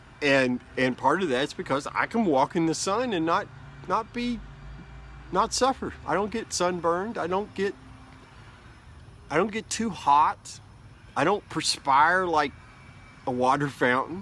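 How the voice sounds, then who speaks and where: A man with a high, bright, sharp voice mumbles at a fairly slow pace with lively intonation and long, frequent pauses. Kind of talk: casual talk to camera. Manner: rambling, mumbling.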